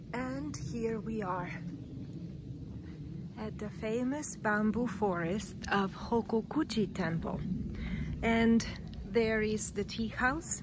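A woman speaks at a very slow pace with long, frequent pauses and ordinary pitch variation, the sound dry with no echo but with noticeable background noise. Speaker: tour guide narrator. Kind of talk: guided tour commentary. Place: forest. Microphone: phone near.

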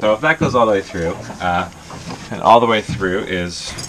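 A man with a very deep, low pitch speaks at a fairly slow pace with lively intonation. Noticeable background noise runs behind him. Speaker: sailing vlogger. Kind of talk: casual vlog tutorial. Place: boat. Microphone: phone near.

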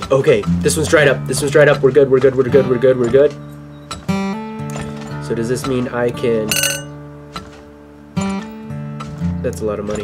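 Loud music plays in the background. A man talks with long, frequent pauses. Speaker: gaming commentator. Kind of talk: commentary.

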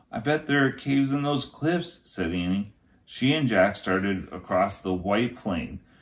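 Against a quiet background, a man speaks slowly-ish, at a fairly slow pace, with vocal fry. His pitch swings very widely. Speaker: teacher reading aloud. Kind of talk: story read-aloud. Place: home room. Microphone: phone near.

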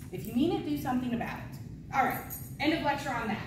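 A woman's high-pitched voice with audible room echo.

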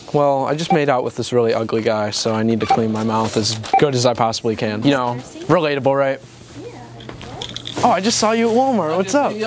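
A man's voice, dry with no echo, with music in the background. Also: fairly quick pace. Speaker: prank vlogger. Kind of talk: casual vlog chat. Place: shop. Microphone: phone near.

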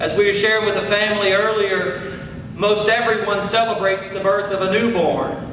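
A man's high-pitched, flat monotone at a moderate pace, with audible room echo and noticeable background noise. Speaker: preacher at a funeral. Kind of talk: funeral sermon. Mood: solemn, comforting. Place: church. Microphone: podium.

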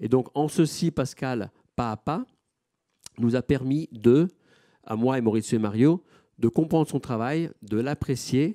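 A man's dark, mellow voice at a medium pitch with ordinary pitch variation and long, frequent pauses, dry with no echo, over a quiet background. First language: Italian (speaking French). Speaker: gallery director; moderator or curator presenting the artist. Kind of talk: panel moderation. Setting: auditorium with audience. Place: hall. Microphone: microphone problems.

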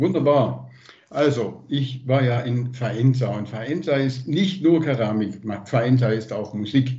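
Over a quiet background, a man talks at a very slow pace, somewhat breathy, with ordinary pitch variation. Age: 60s. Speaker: liaison for Italian twin town; guest. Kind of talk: casual report. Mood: warm, enthusiastic. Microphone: video call.

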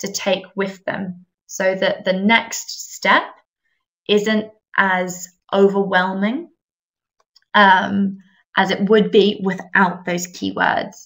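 Her pace is very slow. This woman has a medium pitch and ordinary pitch variation. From England. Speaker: English teacher trainer. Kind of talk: webinar presentation. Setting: online webinar.

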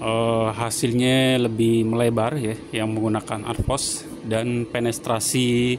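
Over noticeable background noise, a man talks very slowly in a monotone, flat intonation. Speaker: welder reviewing a machine. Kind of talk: tutorial. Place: workshop.

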